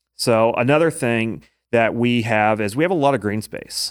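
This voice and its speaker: In a very clean recording with a silent background, a man of medium pitch speaks with a Midwestern American accent and ordinary pitch variation. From Indiana, US Midwest. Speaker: small business district manager. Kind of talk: casual interview. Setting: studio.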